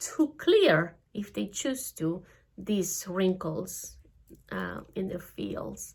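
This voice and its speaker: Very slowly, a woman with a Spanish accent speaks at a medium pitch in a very clean recording with a silent background. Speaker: spiritual energy teacher. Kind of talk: spiritual talk. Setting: studio. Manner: halting.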